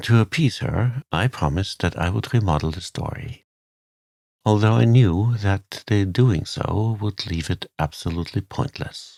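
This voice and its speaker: In a very clean recording with a silent background, a soft-spoken man with a soothing tone and fairly low pitch talks at a fairly slow pace with ordinary pitch variation. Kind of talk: sleep story. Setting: studio. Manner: soft-spoken, soothing.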